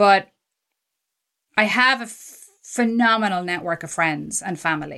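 Over a quiet background, a woman with an Irish accent speaks at a medium pitch and a fairly slow pace, with a bright, sharp tone, ordinary pitch variation and long, frequent pauses. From Ireland. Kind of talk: casual chat.

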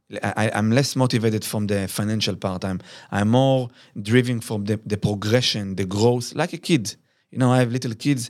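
Recorded very cleanly against a silent background, a man speaks at a medium pitch with an Israeli accent. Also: ordinary pitch variation, moderate pace. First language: Hebrew. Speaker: business founder. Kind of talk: interview. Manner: halting.

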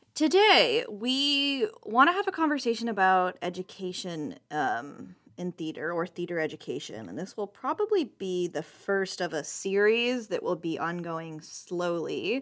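A woman's fairly slow delivery with very wide pitch swings. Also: hardly any pauses, very clean recording, silent background. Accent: American. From US West Coast, San Diego. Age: 20s. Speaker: podcast co-host, theater student. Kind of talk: casual chat.

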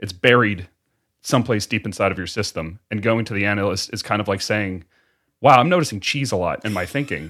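The recording is very clean, with a silent background. A man with a fairly low pitch speaks at a fairly quick pace in an unremarkable speaking voice, with ordinary pitch variation. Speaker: podcast co-host and producer. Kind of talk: casual discussion.

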